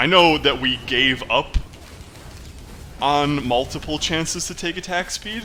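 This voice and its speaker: A man's fairly high voice, bright and sharp in tone, with vocal fry. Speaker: gaming YouTuber. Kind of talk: live gameplay commentary. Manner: mumbles to himself at times; casual, conversational.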